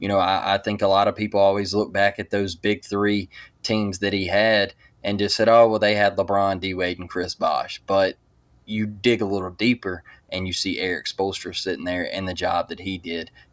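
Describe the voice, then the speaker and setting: This man has a Southern US accent. His pitch sits fairly low. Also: moderate pace. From US South, Mobile, Alabama. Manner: animated.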